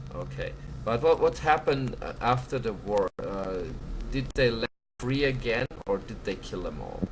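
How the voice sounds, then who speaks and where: A speaker with a German accent talks at a moderate pace, with big swings in loudness. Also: man. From Germany. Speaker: live stream host. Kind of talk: casual chat. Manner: halting.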